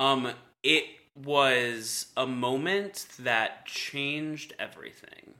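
Very slowly, a man speaks in a bright, sharp tone with ordinary pitch variation. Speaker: podcast co-host. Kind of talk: casual chat.

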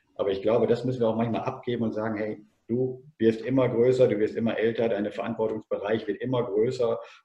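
A man talks at a medium pitch and a moderate pace. He has a normal speaking voice. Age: 50s. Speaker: former teacher and tennis coach. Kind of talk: podcast interview.

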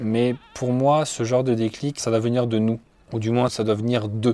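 A man of medium pitch with a dark, mellow tone, fairly even intonation and a moderate pace. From France, Loiret. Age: 20s. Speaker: nature photographer and environmental educator. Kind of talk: personal testimony. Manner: hesitant, many fillers.

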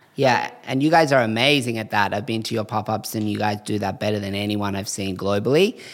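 A man with an Australian accent talks in a fairly low voice with ordinary pitch variation and hardly any pauses. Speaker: eyewear brand co-founder. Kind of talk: interview conversation.

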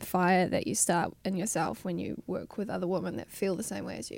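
A woman with a New Zealand accent and vocal fry talks at a fairly quick pace. The recording is very clean, with a silent background. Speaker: musician. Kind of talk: interview. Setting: studio.

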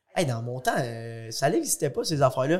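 The man's voice is somewhat breathy and sits at a medium pitch. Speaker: young entrepreneur and fitness competitor. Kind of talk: casual podcast interview.

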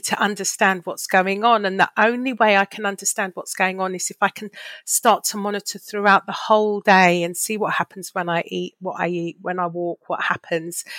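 A woman with an ordinary speaking voice talks at a medium pitch with fairly even intonation. The recording is very clean, with a silent background. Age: 50s. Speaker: charity worker with type 2 diabetes. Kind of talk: podcast interview.

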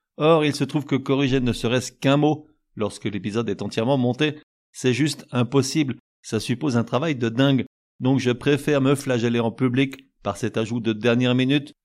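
A man with a normal speaking voice talks at a moderate pace and a medium pitch. His intonation is fairly even, and the recording is very clean with a silent background. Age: 50s. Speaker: music podcast host. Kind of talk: scripted narration. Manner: informal.

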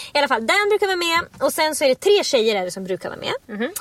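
A woman talks at a very fast pace with very wide pitch swings, and noticeable background noise is present. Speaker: podcast co-host. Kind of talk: casual chat.

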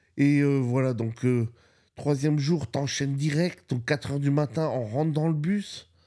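The recording is very clean, with a silent background. A man with a fairly high pitch and a dark, mellow tone speaks at a fairly slow pace. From France. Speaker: podcast host. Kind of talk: casual storytelling monologue. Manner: animated.

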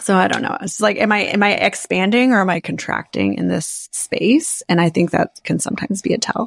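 Her medium-pitched voice shows vocal fry as the woman talks at a fairly quick pace with hardly any pauses and ordinary pitch variation. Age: 40s. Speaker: podcast host and life coach. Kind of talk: casual chat.

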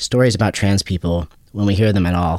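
A man's very deep, low voice with an American accent, fairly quick and fairly even in intonation. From US. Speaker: writer and boxer. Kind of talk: interview, reading aloud from his book.

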